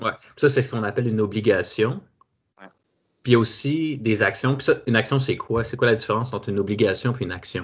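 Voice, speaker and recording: A man with a Quebec accent talks at a fairly quick pace and a medium pitch, somewhat breathy, with ordinary pitch variation. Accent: Québécois French. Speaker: podcast host. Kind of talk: casual interview. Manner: halting.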